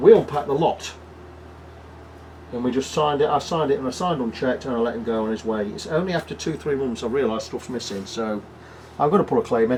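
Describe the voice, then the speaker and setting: A man with an English accent at a medium pitch, very fast pace, ordinary pitch variation and long, frequent pauses. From England. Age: 60s. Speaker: guitar repair technician. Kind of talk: casual chat; workshop tutorial.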